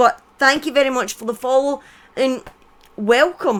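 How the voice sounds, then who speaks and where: In a Scottish accent, a woman speaks at a high pitch and a moderate pace. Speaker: streamer. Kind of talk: storytelling on live stream. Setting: live stream with chat.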